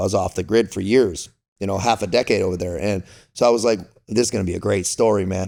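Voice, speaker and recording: Fairly low in pitch, this man speaks at a fairly quick pace with fairly even intonation. The recording is very clean, with a silent background. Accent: Californian. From Southern California. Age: 40s. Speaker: former Navy SEAL and Foreign Legionnaire. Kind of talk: podcast interview. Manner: casual, slangy; talkative.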